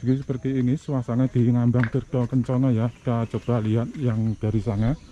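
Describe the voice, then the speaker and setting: The speech moves at a fairly quick pace in a dark, mellow tone with very even loudness. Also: man, medium pitch for a man. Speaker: travel vlogger. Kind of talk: vlog walkthrough. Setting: outdoors. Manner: casual, enthusiastic.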